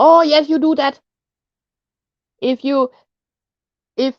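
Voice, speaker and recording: A woman with a Danish accent at a fairly slow pace, in a dry, close sound with no echo. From Denmark. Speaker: live streamer. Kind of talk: casual chat. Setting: live stream chat. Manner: halting, repeats words.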